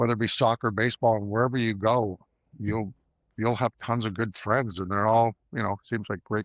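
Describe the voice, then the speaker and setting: An unremarkable speaking voice from a man, medium in pitch, at a moderate pace with fairly even intonation. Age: 60s. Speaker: former junior hockey player, roofing business owner. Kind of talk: casual interview chat.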